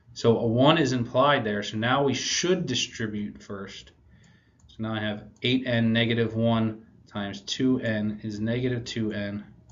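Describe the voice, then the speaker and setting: Audible room echo surrounds a man talking fairly slowly at a medium pitch with ordinary pitch variation. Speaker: math teacher. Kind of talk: recorded video lesson. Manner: casual.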